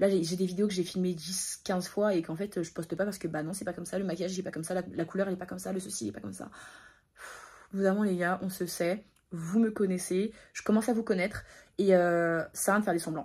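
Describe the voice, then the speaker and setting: A woman talks at a very fast pace in a somewhat breathy voice. Her pitch is medium and her intonation fairly even. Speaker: vlogger. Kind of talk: casual vlog talk to camera.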